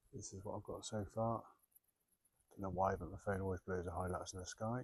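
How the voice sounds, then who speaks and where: A man whispers at a fairly quick pace, sounding somewhat breathy. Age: 40s. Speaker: photographer. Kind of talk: vlog narration. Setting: outdoors. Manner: casual; whispering.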